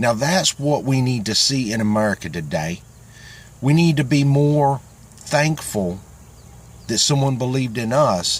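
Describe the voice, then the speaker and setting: A man's medium-pitched voice with a Southern US accent, lively intonation, a fairly slow pace and long, frequent pauses. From Florida. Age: old. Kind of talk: casual talk to camera. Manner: earnest, heartfelt.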